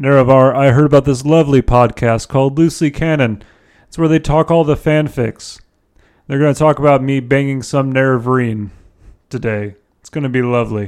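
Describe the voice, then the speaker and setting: A man's put-on character voice at medium pitch and a fairly quick pace, against a quiet background. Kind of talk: villainous monologue. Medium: read story. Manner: grandiose, theatrical.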